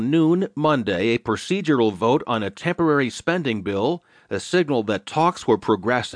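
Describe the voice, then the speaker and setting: A man with an unremarkable speaking voice talks at a moderate pace, using lively intonation. The sound is dry and close with no echo, over a quiet background. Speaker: audiobook narrator reading newspaper digest. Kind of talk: formal news reading. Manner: formal, measured newsreader cadence; steady, even and authoritative.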